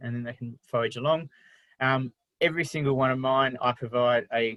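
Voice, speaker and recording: An Australian-accented man's fairly quick delivery. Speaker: wildlife carer. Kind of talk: online talk presentation. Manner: fast.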